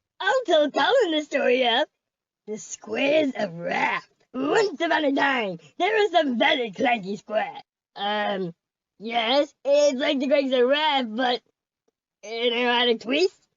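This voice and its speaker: A female-sounding cartoonish character voice speaks at a high pitch and a fairly slow pace. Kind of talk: comic cartoon overacting. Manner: goofy, excitable.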